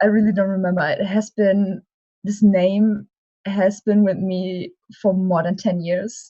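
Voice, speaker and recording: A woman's somewhat breathy, dark, mellow voice at medium pitch, fairly slow and monotone, with a German accent. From Germany. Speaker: cosplayer. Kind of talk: interview. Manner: hesitant.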